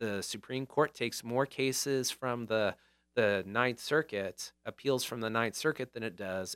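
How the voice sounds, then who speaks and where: In an American accent, a man talks at a moderate pace with an ordinary speaking voice, medium pitch and ordinary pitch variation, on a very clean recording with a silent background and a dry, close sound with no echo. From northern California. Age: 50s. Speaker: lawyer and restaurant owner. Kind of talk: casual chat.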